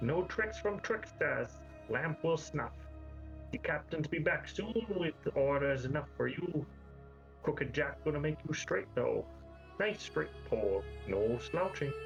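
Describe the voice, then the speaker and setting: A man cackles in a put-on character voice at a fairly slow pace with long, frequent pauses. His loudness stays very even, and clear music plays in the background. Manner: cackling, menacing.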